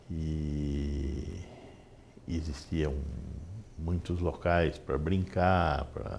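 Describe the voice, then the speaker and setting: A man with a very deep, low voice speaks very slowly, somewhat breathy, with fairly even intonation. Long, frequent pauses break his speech, and room echo is audible. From Brazil, Sorocaba (São Paulo state). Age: 60s. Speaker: physician. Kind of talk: interview. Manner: hesitant.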